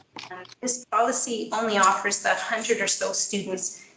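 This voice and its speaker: A woman with a Canadian accent talks with fairly even intonation, and room echo can be heard. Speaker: parent speaking at a school board meeting. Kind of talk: public comment at a board meeting. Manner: hesitant, many fillers.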